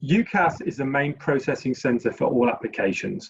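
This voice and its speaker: Somewhat breathy and fairly high in pitch, a man with a British accent talks at a fairly quick pace with lively intonation. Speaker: university recruiter. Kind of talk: webinar presentation.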